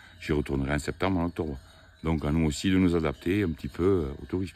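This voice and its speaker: This is a man speaking. His pace is fairly quick. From Tarn, southern France. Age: 50s. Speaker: shepherd and livestock farmer. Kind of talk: casual interview while herding.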